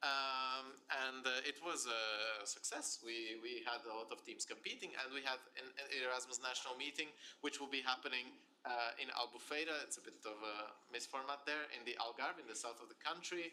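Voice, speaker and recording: A man speaks at a medium pitch with fairly even intonation. His tone is bright and sharp. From Portugal, Aveiro. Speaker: student association representative. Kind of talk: presentation. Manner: fast.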